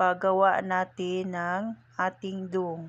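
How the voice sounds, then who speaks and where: A woman talks at a very slow pace. Her voice has a medium pitch. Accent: Visayan. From Visayas, Philippines. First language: Cebuano/Visayan (speaking Tagalog). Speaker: home cooking vlogger. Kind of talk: channel sign-off to viewers; cooking tutorial.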